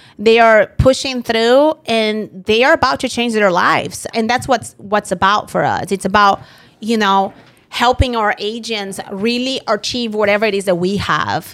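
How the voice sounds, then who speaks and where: Fairly high female voice with a non-native accent. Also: ordinary pitch variation, moderate pace. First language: not English. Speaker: insurance agency founder and podcast host. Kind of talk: casual chat.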